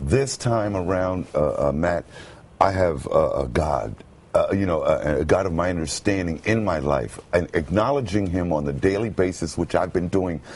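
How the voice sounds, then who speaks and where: A man with an American accent speaks in a resonant, very deep, low voice at a moderate pace. Noticeable background noise sits behind it. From Brooklyn, United States. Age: 50s. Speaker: homeless man turned radio announcer. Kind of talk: interview answer.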